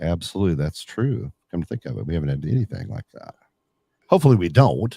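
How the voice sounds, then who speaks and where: A man's very deep, low voice in an American accent, with vocal fry, a very fast pace, very wide pitch swings and big swings in loudness. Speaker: local media and radio personality. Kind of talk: casual chat. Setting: home studio in an attic. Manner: animated.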